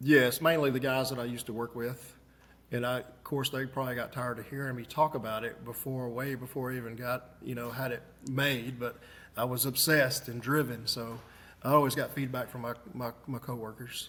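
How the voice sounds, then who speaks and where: At a fairly quick pace, a man speaks in a monotone, flat intonation with medium pitch. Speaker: inventor. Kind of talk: interview. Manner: soft-spoken.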